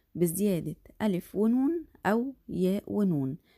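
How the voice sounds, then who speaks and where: A woman with an Egyptian accent speaks in a dark, mellow tone with lively intonation, the sound dry and close with no echo on a very clean recording with a silent background. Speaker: primary school Arabic teacher. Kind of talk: lecture.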